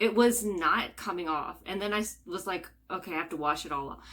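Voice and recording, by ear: Her voice is medium in pitch for a woman, with a fairly bright tone, ordinary pitch variation and a moderate pace.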